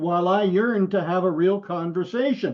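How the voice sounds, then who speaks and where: A high-pitched man speaks with ordinary pitch variation. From Quebec. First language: French. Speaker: guest sharing a dream. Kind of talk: reading aloud. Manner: halting.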